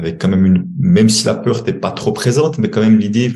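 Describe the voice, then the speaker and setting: A somewhat breathy man's voice at medium pitch, with lively intonation and a very fast pace. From Switzerland. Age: 60s. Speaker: money coach and former banker. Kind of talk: podcast interview. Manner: halting.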